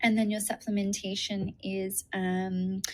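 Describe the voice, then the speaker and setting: A woman with a medium pitch speaks in a flat monotone. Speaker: nutritionist and naturopath. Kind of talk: webinar presentation. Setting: video call. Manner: hesitant with many fillers.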